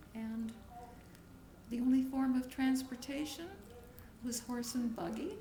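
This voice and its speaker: A high-pitched woman speaks at a fairly slow pace with fairly even intonation and long, frequent pauses. Noticeable background noise and audible room echo accompany her. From Crimea, Russia. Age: 90s. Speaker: grandmother interviewed about her life. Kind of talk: oral history interview. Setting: home video recording with family.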